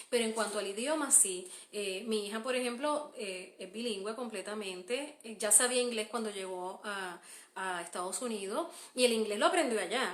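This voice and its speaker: Speaking in a Puerto Rican accent, a woman with a fairly high voice talks at a moderate pace with ordinary pitch variation in a room with audible echo. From Puerto Rico. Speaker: homeschooling mother and podcaster. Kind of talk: live stream Q&A. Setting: Facebook live stream. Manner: hesitant, many fillers.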